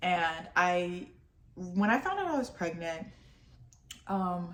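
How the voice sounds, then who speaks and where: A woman speaks at a fairly slow pace. Her voice is fairly low, with ordinary pitch variation. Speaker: lifestyle vlogger. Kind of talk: casual vlog talk to camera. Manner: halting, stumbling over words.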